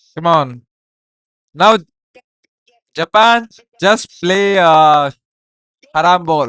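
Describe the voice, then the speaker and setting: Long pauses come often in this extremely slow speech. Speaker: gaming streamer. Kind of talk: live reaction stream. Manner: animated; loud.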